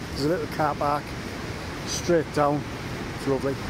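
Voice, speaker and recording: A man's voice, dry and echo-free, over noticeable background noise. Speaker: paddle boarder vlogger. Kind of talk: casual vlog chat. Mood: cheerful, relaxed. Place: waterside. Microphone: phone near.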